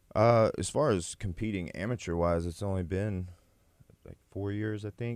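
Speaking with an American accent and a plain, everyday voice, a man with fairly low pitch keeps a moderate pace and fairly even intonation, his loudness swinging widely on a very clean recording with a silent background. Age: 30s. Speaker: MMA fighter and police officer. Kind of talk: interview.

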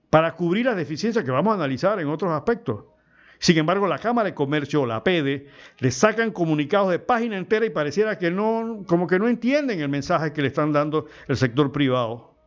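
Talking at a very fast pace, a man with a fairly high pitch sounds animated, with lively intonation. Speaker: radio host and producer. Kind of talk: talk radio commentary. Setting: radio studio.

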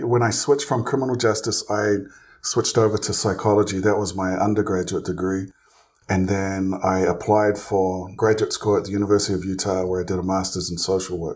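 Delivered at a fairly quick pace, the speech comes in a New Zealand accent with monotone, flat intonation. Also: man, fairly low pitch for a man. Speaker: licensed clinical social worker, therapist. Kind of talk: interview.

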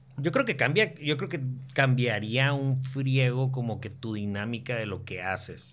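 A man at medium pitch with ordinary pitch variation, fairly slow pace and audible room echo. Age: 30s. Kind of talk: casual chat.

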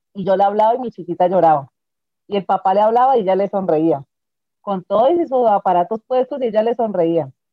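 Pitched in a medium range, a woman with an unremarkable speaking voice talks at a fairly quick pace with lively intonation. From Colombia. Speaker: bereaved mother. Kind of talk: testimony.

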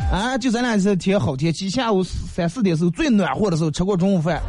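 Talking very fast, a man uses a high pitch with ordinary pitch variation. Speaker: radio host. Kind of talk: live radio talk show. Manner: animated.

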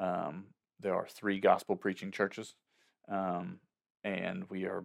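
This man has a Southern US accent. His pitch is fairly low. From US South, upstate South Carolina. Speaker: worship pastor. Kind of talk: casual interview.

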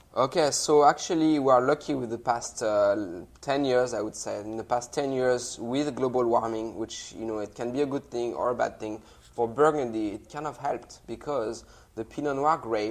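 A man speaks with a French accent and fairly even intonation. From France, Loire Valley. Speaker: wine company sales director. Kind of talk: interview with wine tasting.

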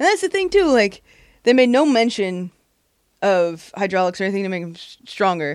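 Her voice sits at a medium pitch and is an unremarkable speaking voice, with lively intonation and big swings in loudness. The recording is very clean, with a silent background. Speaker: comedian. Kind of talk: casual chat.

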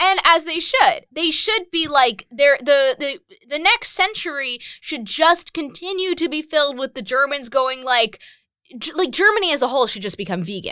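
A woman's raised, projected voice, animated in tone, high-pitched, with very wide pitch swings, a moderate pace and an American accent. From US Northeast, Westchester, New York. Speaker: podcast co-host. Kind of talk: casual chat.

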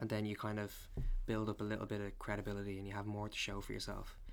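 A very fast-talking man with a Dublin accent. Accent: Dublin Irish. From Ireland, Dublin. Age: 20s. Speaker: photographer. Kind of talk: casual interview.

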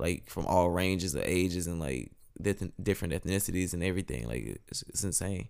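Very deep and low, a man's voice runs at a fairly quick pace with vocal fry. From northern Louisiana (Monroe). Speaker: musician and artist. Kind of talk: casual chat.

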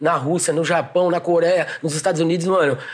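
Very fast and monotone, a man speaks with flat intonation at a high pitch. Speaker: breakdancer. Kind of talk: casual chat.

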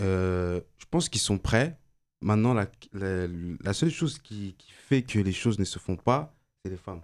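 A man's plain, everyday voice, fairly low in pitch, at a fairly slow pace with lively intonation and big swings in loudness. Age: 20s. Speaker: engineering student, debate participant. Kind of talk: casual debate.

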